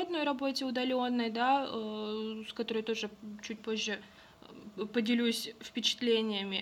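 Her pitch is fairly high, and this woman has a normal speaking voice. She talks at a moderate pace with fairly even intonation. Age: 20s. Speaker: podcast co-host. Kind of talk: casual chat.

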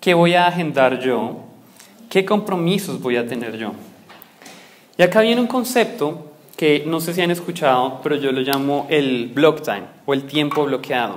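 A man with a fairly high pitch talks at a fairly slow pace, using lively intonation and long, frequent pauses. Audible room echo and noticeable background noise fill the recording. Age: 20s. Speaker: business coach and speaker. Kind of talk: lecture.

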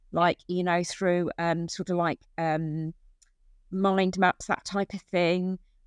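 The sound is dry and close with no echo, over a quiet background. A woman with an English accent speaks at medium pitch in a flat, monotone way. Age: 50s. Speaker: family support worker. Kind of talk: interview.

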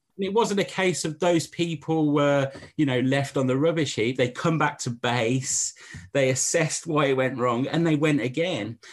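Over a quiet background, a man with a fairly high pitch talks at a moderate pace, with ordinary pitch variation and very even loudness. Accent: English. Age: 40s. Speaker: pastor and church planter. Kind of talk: casual interview chat.

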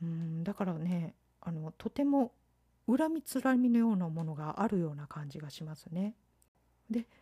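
At a moderate pace, the voice swings widely in loudness with lively intonation, its dark, mellow tone somewhat breathy in a dry, close recording with no echo. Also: woman, fairly low pitch for a woman. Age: 50s. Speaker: podcast host. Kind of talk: solo podcast monologue. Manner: polite, formal.

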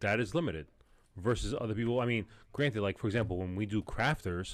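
In a very clean recording with a silent background, a man speaks with an American accent. His voice is fairly low-pitched, with ordinary pitch variation and a fairly quick pace. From New York. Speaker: podcast host. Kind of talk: casual chat.

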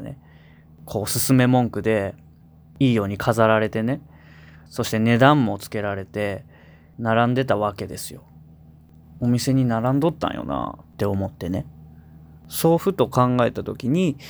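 With a Kansai accent, a man speaks at a moderate pace and medium pitch, with ordinary pitch variation and long, frequent pauses. His loudness swings widely, and the recording is very clean with a silent background. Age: 20s. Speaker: singer-songwriter, radio host. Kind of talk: radio talk show.

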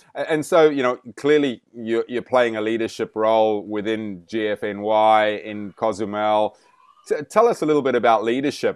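A man talks at a moderate pace with a medium pitch and fairly even intonation, in a plain, everyday voice. The sound is dry and close, with no echo. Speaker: podcast host. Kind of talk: interview.

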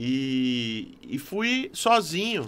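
Bright, sharp male tone, pitch swinging very widely. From Fernandópolis, interior of São Paulo. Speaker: drummer. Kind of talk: casual chat. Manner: halting.

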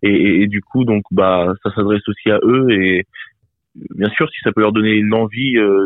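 Very slowly, a man speaks with fairly low pitch and fairly even intonation. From France, Bourges (Cher). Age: 20s. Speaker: rapper and singer-songwriter. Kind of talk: interview. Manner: halting.

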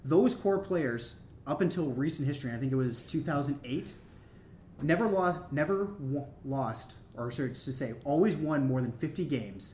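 A man talks at a moderate pace with lively intonation and a somewhat breathy quality. Audible room echo surrounds his voice. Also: fairly high pitch for a man. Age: 30s. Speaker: sports podcast co-guest. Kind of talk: casual chat.

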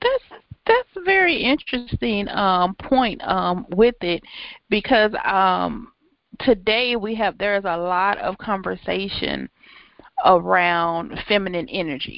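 Her pitch at a medium level, a woman speaks at a very slow pace with ordinary pitch variation. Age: 40s. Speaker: podcast host and writing coach. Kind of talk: interview. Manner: halting, frequent um fillers.

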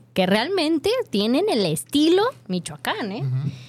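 The voice has an animated tone. Noticeable background noise can be heard. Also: woman. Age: young. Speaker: radio food show host. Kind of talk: casual chat.

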